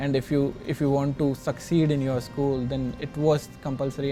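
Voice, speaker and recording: Someone with an Indian accent talks at a moderate pace over noticeable background noise. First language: Hindi. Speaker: interviewee. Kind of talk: documentary interview.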